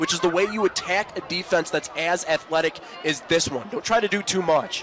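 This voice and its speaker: A man's high voice, with ordinary pitch variation, moves at a fairly quick pace amid noticeable background noise. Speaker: football color commentator. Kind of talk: live football color commentary, analytical.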